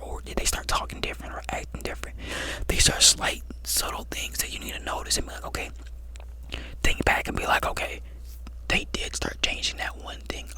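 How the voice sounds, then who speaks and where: Over noticeable background noise, a man with a very deep, low pitch talks at a fairly quick pace in a monotone, flat intonation, with big swings in loudness and long, frequent pauses. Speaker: ASMR creator. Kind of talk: advice talk to camera, ASMR-style. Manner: conversational, reassuring.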